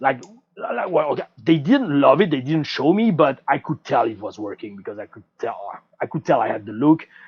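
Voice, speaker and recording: Lively and fairly quick, a man speaks with a French accent at a fairly high pitch. His loudness swings widely. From France, French Riviera (Nice). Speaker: former pro wrestler. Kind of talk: interview podcast. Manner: casual, animated.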